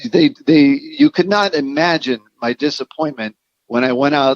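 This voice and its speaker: The recording of this man is dry and close with no echo, and his pitch varies in an ordinary way. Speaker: drummer. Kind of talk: casual interview chat. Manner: animated storytelling.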